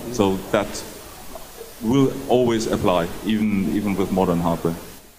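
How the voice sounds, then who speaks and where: With audible room echo and noticeable background noise, a man speaks fairly slowly at a fairly low pitch, his loudness very even and his pitch variation ordinary. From Germany. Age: 60s. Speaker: game developer. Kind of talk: interview.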